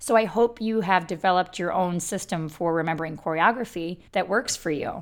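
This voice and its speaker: With ordinary pitch variation, a woman talks at a moderate pace in a fairly low pitch. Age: 40s. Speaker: podcast host and belly dancer. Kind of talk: solo podcast monologue.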